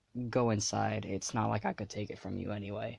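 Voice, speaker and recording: A man puts on a character voice that is raspy and fairly low. He delivers it at a fairly quick pace. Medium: read story.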